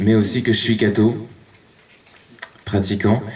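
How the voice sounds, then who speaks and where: Through noticeable background noise and audible room echo, a man speaks at a fairly slow pace. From western France (Cholet). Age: 30s. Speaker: lecturer, Spanish teacher. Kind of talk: public talk. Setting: conference hall with audience. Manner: halting, many fillers.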